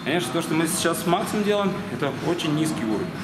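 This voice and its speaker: A man's very fast speech with ordinary pitch variation over noticeable background noise. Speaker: boxing coach. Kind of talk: tutorial explanation. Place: gym.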